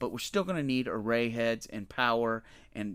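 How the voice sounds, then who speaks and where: On a very clean recording with a silent background, a man talks in a plain, everyday voice. His pitch is medium, with ordinary pitch variation and a moderate pace. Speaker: data analytics presenter. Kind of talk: technical explanation to camera, whiteboard tutorial. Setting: voice-over to screen drawing. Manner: casual, conversational, with frequent fillers.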